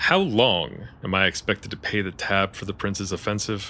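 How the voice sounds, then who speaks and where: A man's fairly low, put-on character voice over clear background noise. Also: moderate pace. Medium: audio drama. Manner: curt, irritable.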